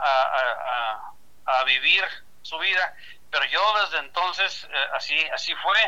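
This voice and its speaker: Bright, sharp tone marks this man's voice. His intonation is lively. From Mexico, Chihuahua state. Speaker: baseball sports commentator. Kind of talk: interview.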